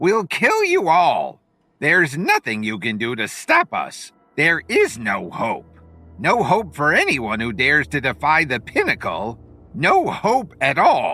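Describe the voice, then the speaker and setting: Over faint music in the background, a put-on character voice hisses and growls at a fairly slow pace. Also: man, fairly high pitch for a man. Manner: growling, hissing, menacing.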